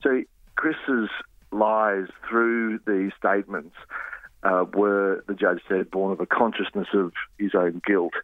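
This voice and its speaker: Very slow, fairly even speech in an Australian accent, broken by long, frequent pauses. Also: man, fairly low pitch for a man. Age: 50s. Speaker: journalist. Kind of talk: interview.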